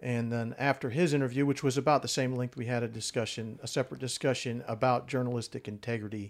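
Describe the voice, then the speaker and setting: The man speaks at a fairly quick pace with a medium pitch, fairly even intonation and a plain, everyday voice. The recording is very clean, with a silent background. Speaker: retired army colonel, guest. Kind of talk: casual discussion.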